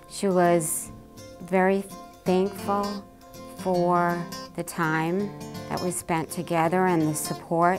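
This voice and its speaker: With music in the background, a woman with a fairly low pitch speaks very slowly in a monotone, flat way, leaving long, frequent pauses. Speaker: volunteer patient navigator. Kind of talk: interview answer.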